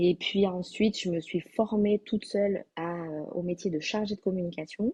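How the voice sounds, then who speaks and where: The somewhat breathy voice moves at a moderate pace with ordinary pitch variation, recorded in a dry, close sound with no echo. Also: woman, medium pitch for a woman. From southwestern France, Landes. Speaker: graphic designer and online entrepreneur. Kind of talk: interview. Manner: hesitant, many fillers.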